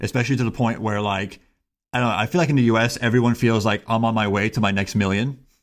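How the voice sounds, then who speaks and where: A man with an American accent, medium pitch, fairly even intonation and a very fast pace, on a very clean recording with a silent background. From Miami, Florida, US. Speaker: engineering professor. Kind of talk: casual chat.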